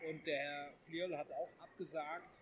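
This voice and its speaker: A man talks with fairly even intonation. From Hesse. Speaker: magazine editor-in-chief. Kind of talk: casual discussion. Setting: trade fair.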